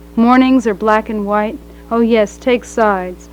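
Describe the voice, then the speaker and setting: Over music in the background, a woman with a fairly high pitch speaks at a very slow pace with monotone, flat intonation. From New York. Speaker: poet. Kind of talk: poetry reading. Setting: live reading before an audience. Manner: balanced, neither dramatic nor monotonous.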